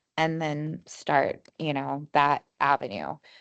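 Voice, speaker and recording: Very slow and very deep, a woman's low voice moves with ordinary pitch variation over a quiet background. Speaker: mastermind participant. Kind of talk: group discussion share. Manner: loud; halting.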